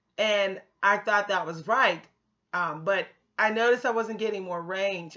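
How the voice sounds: A woman's ordinary speaking voice at a medium pitch, with ordinary pitch variation and a fairly slow pace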